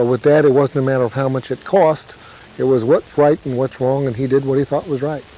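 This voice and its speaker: A man at a fairly quick pace with fairly even intonation, amid noticeable background noise. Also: medium pitch for a man. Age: 40s. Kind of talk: testimony.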